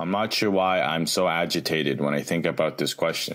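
A man with a Canadian accent speaks in a very deep, low pitch with vocal fry. His pace is moderate and his pitch variation ordinary. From Canada. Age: 20s. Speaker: tap dancer and teacher. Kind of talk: personal testimony interview. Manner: halting, many fillers.

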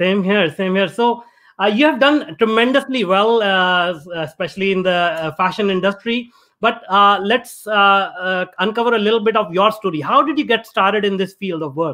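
A man's raised, projected voice, high-pitched with a bright, sharp tone, ordinary pitch variation and a moderate pace. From India. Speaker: podcast host. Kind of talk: reading guest introduction; interview conversation. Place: home room. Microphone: video call.

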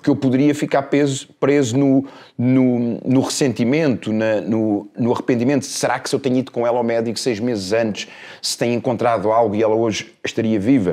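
Speaking at a fairly quick pace in a European Portuguese accent, a man with a medium pitch and a dark, mellow tone keeps his intonation fairly even over a quiet background. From Portugal. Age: 50s. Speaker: life coach. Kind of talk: casual interview chat. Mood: reflective, personal story of loss. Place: studio. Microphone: lapel.

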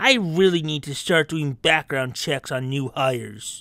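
A put-on character voice at a low-to-middle pitch and moderate pace, on a very clean recording with a silent background.

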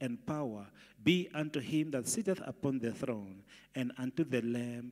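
At a fairly slow pace, a man talks over a quiet background. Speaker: pastor. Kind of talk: scripture reading in a prayer service. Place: church. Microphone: handheld.

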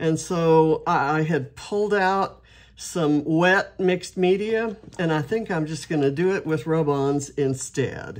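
At a fairly slow pace, a woman speaks with a very deep, low pitch and ordinary pitch variation. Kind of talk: casual craft tutorial chat. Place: home room.

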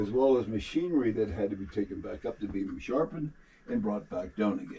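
With lively intonation and a fairly quick pace, a man speaks against light background noise. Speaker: mine tour guide. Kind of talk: guided tour explanation. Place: tunnel cave. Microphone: camera far.

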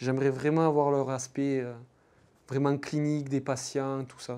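A man's medium-pitched voice, dark and mellow, in a flat monotone at a moderate pace, with big jumps in loudness. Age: 20s. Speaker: PhD student researcher. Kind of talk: interview testimony. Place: studio. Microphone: lapel.

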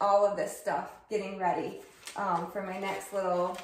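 In a fairly slow pace, a woman speaks with audible room echo and light background noise. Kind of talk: casual vlog chat. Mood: cheerful, chatty. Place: kitchen.

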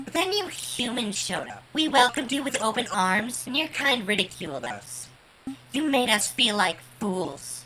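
A female-sounding voice puts on a character voice at a fairly high pitch. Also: moderate pace. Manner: grave, then conciliatory.

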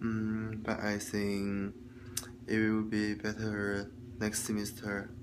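A man with a Chinese accent speaks at a very slow pace in a fairly low pitch, with monotone, flat intonation. His loudness stays very even over noticeable background noise. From China. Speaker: student vlogger. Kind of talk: video log monologue, class homework. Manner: halting, with many fillers. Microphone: phone near.

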